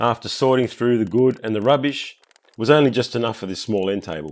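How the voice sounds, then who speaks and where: With an Australian accent, a man speaks at a fairly quick pace, his medium pitch carried by lively intonation. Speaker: woodworking YouTuber. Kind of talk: tutorial narration.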